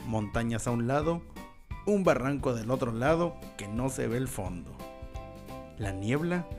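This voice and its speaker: Over music in the background, a man delivers his lines in a dramatic tone at a fairly slow pace, with very wide pitch swings. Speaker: podcast host. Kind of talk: horror story podcast narration. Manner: dramatic, with dark humor.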